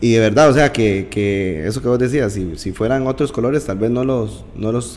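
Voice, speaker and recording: A man speaks at a moderate pace in an ordinary speaking voice. His pitch is medium, and his intonation is lively. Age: 30s. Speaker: podcast host. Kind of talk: interview.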